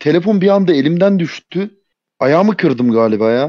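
Very wide pitch swings mark this man's dark, mellow voice. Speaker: clan member, player. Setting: Discord voice chat.

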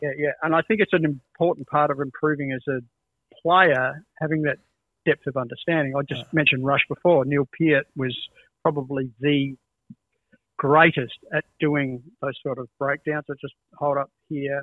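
With an Australian accent, a man talks at a moderate pace in a fairly high pitch and fairly even intonation, the sound dry with no echo against a quiet background. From Adelaide, Australia. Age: 60s. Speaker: music educator and guitarist. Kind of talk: casual chat. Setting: video call. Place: home room.

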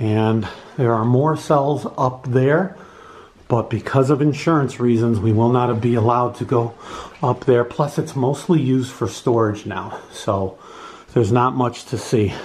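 The pace here is fairly slow. A man talks with ordinary pitch variation. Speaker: paranormal video host. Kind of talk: casual vlog walk-through narration. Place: hall. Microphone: phone near.

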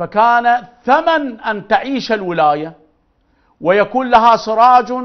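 Against a quiet background, a man speaks very slowly in an Iraqi accent. His pitch is extremely high. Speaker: religious figure; TV guest, speaker. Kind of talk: interview. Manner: animated. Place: studio.

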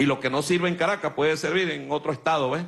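Light background noise sits under a man's voice. He goes at a fairly quick pace with ordinary pitch variation. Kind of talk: political speech. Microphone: podium.

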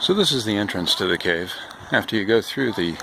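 There is vocal fry in this man's voice, and background noise is clearly audible.

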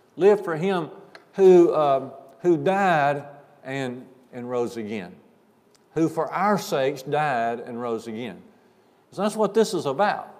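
In a Southern US accent, a man speaks at a very slow pace with long, frequent pauses. His pitch swings very widely and his loudness rises and falls sharply. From US South. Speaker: preacher. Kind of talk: sermon. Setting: church. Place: church. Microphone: lapel.

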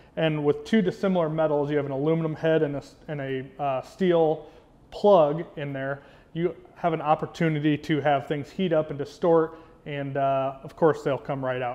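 This man's intonation stays fairly even. He talks at a moderate pace. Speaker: presenter. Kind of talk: product explainer. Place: workshop.

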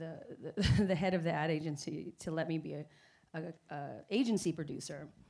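Over a quiet background, a woman speaks at a fairly low pitch with fairly even intonation. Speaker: guest. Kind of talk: interview answer. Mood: relaxed, laughs at times. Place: stage. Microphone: handheld.

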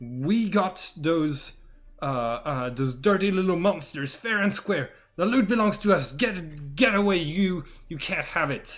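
A man uses a put-on character voice at a high pitch. He speaks fairly slowly, with long, frequent pauses. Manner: yelling, indignant.

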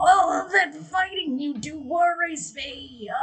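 The voice is a put-on character voice with a high pitch. It moves at a fairly slow pace.

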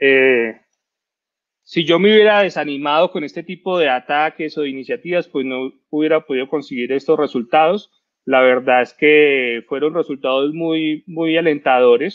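A man's normal speaking voice, fairly high in pitch, with ordinary pitch variation, a moderate pace and a quiet background. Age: 30s. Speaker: cybersecurity expert; presenter. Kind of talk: talk presentation. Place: home room. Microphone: headset.

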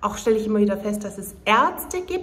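A woman at a fairly slow pace. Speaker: vlogger. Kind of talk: casual vlog chat. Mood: frustrated, complaining. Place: home room. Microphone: phone near.

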